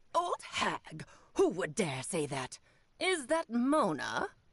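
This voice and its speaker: Here is a put-on character voice at a fairly high pitch. It moves at a very slow pace. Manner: imitation of another character.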